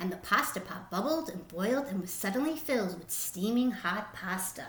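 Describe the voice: Speaking at a moderate pace, a woman has a medium pitch and a fairly bright tone. Her intonation is lively, and audible room echo is present.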